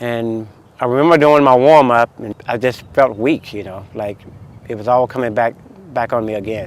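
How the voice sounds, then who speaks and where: In a normal speaking voice, a man with an American accent talks at a moderate pace and medium pitch. His intonation is fairly even, but his loudness swings widely. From US South, North Carolina. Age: 40s. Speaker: masters track athlete. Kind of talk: documentary interview.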